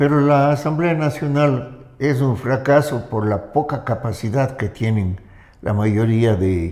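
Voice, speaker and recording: Very slowly, a man speaks in a dark, mellow tone. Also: medium pitch for a man, ordinary pitch variation. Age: 90s. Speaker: political commentator. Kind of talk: interview.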